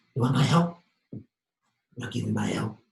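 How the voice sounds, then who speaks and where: A man's raspy, put-on character voice at medium pitch and moderate pace, with slight echo. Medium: stage play. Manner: theatrical, emphatic.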